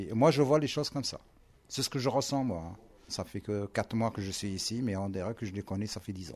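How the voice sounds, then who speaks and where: A man with ordinary pitch variation. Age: 50s. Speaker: delivery driver, formerly homeless, social housing resident. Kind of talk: interview. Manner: halting.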